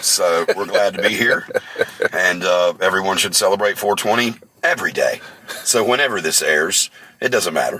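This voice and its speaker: With a slight Southern US accent, a man talks at a moderate pace and very even loudness against noticeable background noise. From North Carolina. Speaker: metal band bassist and vocalist. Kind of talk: interview.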